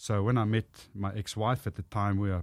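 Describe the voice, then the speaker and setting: This is a man speaking. He has a strong Afrikaans South African accent. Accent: thick Afrikaans South African English. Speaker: motivational speaker and former rugby player. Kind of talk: casual interview chat.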